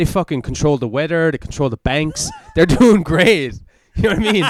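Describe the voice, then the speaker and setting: A man speaks with an Irish accent and lively intonation. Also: fairly high pitch for a man, fairly quick pace. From Ireland. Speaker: comedian and podcast host. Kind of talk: casual chat. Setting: podcast recorded on camera. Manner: fast.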